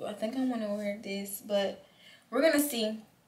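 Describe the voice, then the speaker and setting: Ordinary pitch variation comes with a moderate pace. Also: woman. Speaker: vlogger. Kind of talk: casual vlog chat. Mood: relaxed, a bit hurried. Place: home room. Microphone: camera far.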